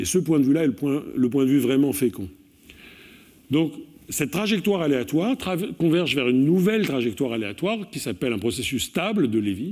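Against a quiet background, a man with a fairly high pitch talks at a fairly quick pace with very wide pitch swings. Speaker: mathematics professor. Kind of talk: lecture. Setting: stage with audience. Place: hall.

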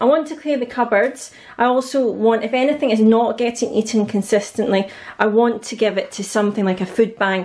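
With a quiet background behind her, a woman speaks fairly quickly, her pitch shifting in an ordinary way. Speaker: family budget vlogger. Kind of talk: casual vlog chat. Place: kitchen. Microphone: phone near.

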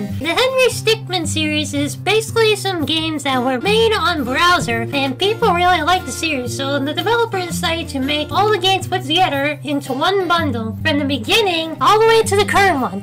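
A put-on character voice at a fairly quick pace over loud music in the background. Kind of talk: gaming commentary. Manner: upbeat.

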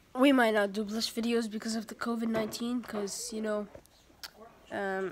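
A woman speaks at fairly high pitch and a moderate pace, her intonation monotone and flat. Noticeable background noise is present. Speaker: YouTuber making a tech tutorial. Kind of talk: casual tutorial.

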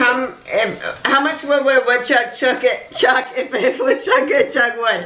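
Raising and projecting her high-pitched voice, a woman speaks at a fairly slow pace with ordinary pitch variation. Audible room echo surrounds her. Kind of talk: casual talk to camera. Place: home room. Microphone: camera far.

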